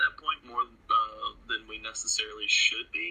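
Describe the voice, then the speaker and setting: With noticeable background noise, a man uses a raised, projected voice at an extremely high pitch. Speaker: podcast co-host. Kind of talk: casual chat.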